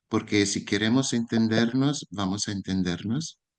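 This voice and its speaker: A man speaks with an Italian accent at medium pitch. The pitch variation is ordinary, and the background is quiet. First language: Italian (speaking Spanish). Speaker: educator. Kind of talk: lecture. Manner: slow.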